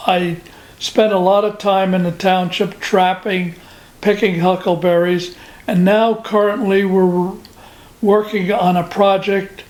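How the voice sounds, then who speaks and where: The voice has an American accent and monotone, flat intonation. It moves at a fairly slow pace over noticeable background noise. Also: man, high pitch for a man. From New Jersey. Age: 90s. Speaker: war veteran. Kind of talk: oral history interview. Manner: halting.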